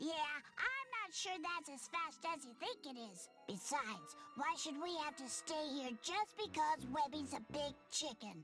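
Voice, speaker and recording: Over clear music in the background, a put-on character voice speaks at a high pitch and a fairly slow pace with hardly any pauses. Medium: video game. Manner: bratty, lively.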